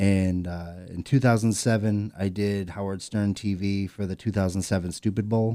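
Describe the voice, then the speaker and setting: A man with an American accent and a dark, mellow tone, fairly low in pitch, at a very slow pace with hardly any pauses and fairly even intonation, on a very clean recording against a silent background. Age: 30s. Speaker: podcast co-host. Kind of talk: casual chat.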